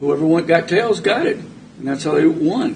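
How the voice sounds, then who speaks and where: With noticeable background noise behind him, a man with an American accent speaks at a fairly quick pace. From US, military family moving around. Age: 70s. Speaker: local official, former city administrator. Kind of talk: public meeting discussion.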